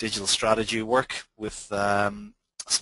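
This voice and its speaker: With an Irish accent, a man speaks at a fairly low pitch in a bright, sharp tone, the sound dry and close with no echo. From Ireland. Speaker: social media consultant. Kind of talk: webinar presentation. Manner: halting, many fillers.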